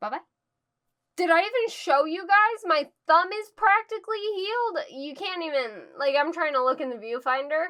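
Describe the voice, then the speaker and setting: In a raised, projected voice, a woman with an extremely high pitch and a bright, sharp tone speaks at a moderate pace with very wide pitch swings. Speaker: book reviewer. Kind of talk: casual chat. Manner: not loud.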